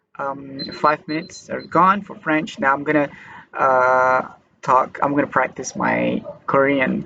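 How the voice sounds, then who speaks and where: A man with a Malaysian accent, fairly high in pitch, ordinary in pitch variation, at a fairly slow pace. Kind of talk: casual talk to camera. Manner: hesitant.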